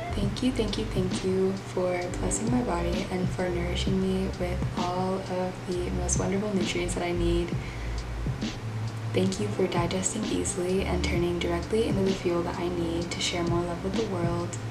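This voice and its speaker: Music sounds behind a woman who talks at a moderate tempo. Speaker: vlogger. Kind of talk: casual vlog chat. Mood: cheerful, a bit scattered. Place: home room. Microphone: camera far.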